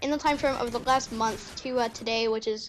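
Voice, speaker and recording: Loud and high-pitched, a woman talks at a moderate pace with fairly even intonation. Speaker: gaming youtuber. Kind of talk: gameplay commentary. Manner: rambling with many fillers.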